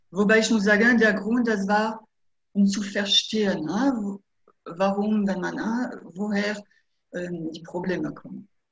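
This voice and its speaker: A woman's medium-pitched voice with fairly even intonation, big swings in loudness and long, frequent pauses. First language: French (speaking German). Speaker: hypnotherapist. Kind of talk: interview. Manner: halting.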